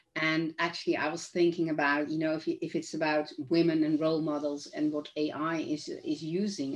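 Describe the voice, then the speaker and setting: Against a quiet background, a woman with a Dutch accent speaks at a moderate pace with hardly any pauses, her very deep, low pitch carried in monotone, flat intonation. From Netherlands. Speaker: author and neuroscience trainer. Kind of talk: casual chat.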